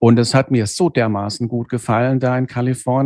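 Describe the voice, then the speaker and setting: Here a man speaks with a dark, mellow tone and ordinary pitch variation. The background is quiet. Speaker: dental technician and business owner. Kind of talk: interview. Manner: halting, many fillers.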